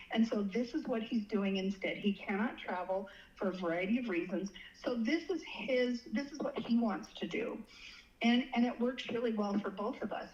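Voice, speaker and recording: With a fairly high pitch and ordinary pitch variation, a woman speaks at a moderate pace. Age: 60s. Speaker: dating guest sharing experiences. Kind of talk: casual interview. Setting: phone call. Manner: halting with repetitions.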